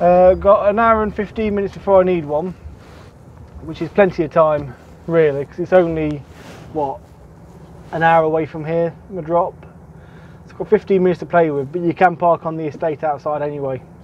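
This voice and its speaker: A man talks at a fairly quick pace with ordinary pitch variation and big swings in loudness. The sound is dry with no echo, over light background noise. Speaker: truck driver vlogger. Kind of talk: casual vlog chat. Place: car. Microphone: camera far.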